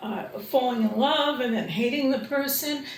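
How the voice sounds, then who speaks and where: A woman's high voice with lively intonation, amid noticeable background noise and audible room echo. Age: 70s. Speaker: psychologist. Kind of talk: interview.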